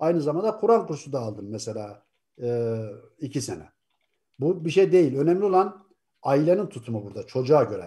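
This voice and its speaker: A man's fairly high, somewhat breathy voice with a dark, mellow tone, very wide pitch swings, big swings in loudness and a fairly quick pace, against a quiet background. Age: 60s. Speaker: atheist YouTuber. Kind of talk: casual discussion. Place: home room. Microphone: video call.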